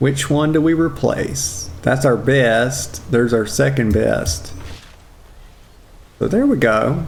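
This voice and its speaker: Amid audible room echo, a man speaks at a very slow pace with long, frequent pauses, lively intonation and very even loudness. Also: medium pitch for a man. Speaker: video game streamer. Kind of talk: casual livestream commentary.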